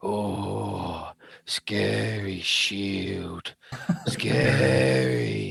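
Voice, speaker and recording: This raspy, put-on character voice swings very widely in pitch. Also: man, very deep, low pitch for a man. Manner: spooky, playful.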